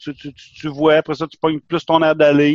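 The man's pitch sits fairly high. His sound is dry and close, with no echo. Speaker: podcast co-host. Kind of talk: casual chat.

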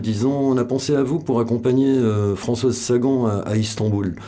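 Set in audible room echo, a man's dark, mellow tone sits at medium pitch with fairly even intonation. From French Basque Country. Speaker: photographer. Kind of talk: interview. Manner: halting, many repetitions and hesitations.

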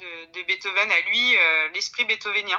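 Intonation stays fairly even while the delivery keeps a moderate pace. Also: woman. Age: 30s. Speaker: pianist and piano teacher. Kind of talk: interview. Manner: halting.

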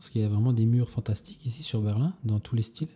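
Somewhat breathy and dark, mellow in tone, a man speaks at a medium pitch with ordinary pitch variation. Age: 30s. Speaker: street artist. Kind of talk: casual interview. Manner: halting.

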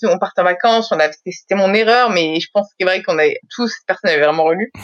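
A woman speaks at a fairly quick pace, with a dry, close sound and no echo. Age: 30s. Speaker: social media consultant. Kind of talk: casual chat.

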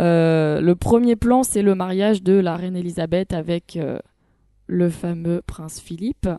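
A woman at a fairly low pitch, dark and mellow in tone, fairly slow, with ordinary pitch variation and a dry, close sound with no echo. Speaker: first-time podcast guest, series reviewer. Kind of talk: casual chat with reviews.

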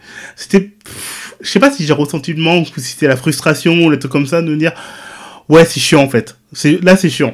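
Talking at a fairly quick pace yet with long, frequent pauses, a man with a fairly high pitch shows ordinary pitch variation. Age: 40s. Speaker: web designer and content creator. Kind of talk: personal testimony. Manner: talkative.

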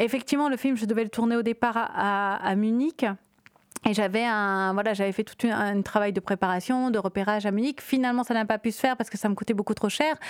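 Very fast and very even in loudness, a woman's fairly high voice carries fairly even intonation on a very clean recording with a silent background. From Réunion. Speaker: film director. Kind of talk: interview.

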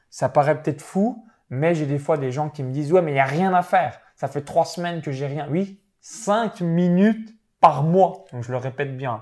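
A normal speaking voice comes at a moderate pace with ordinary pitch variation. The recording is very clean, with a silent background. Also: man, fairly high pitch for a man. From eastern France, Saône-et-Loire (near Chalon-sur-Saône). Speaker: professional sports bettor and online entrepreneur. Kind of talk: interview.

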